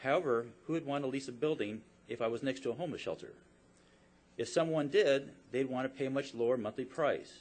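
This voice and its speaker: An ordinary speaking voice from a man at a medium pitch, fairly quick in pace, with fairly even intonation. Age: 60s. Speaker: business owner. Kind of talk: public testimony. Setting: public hearing. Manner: formal.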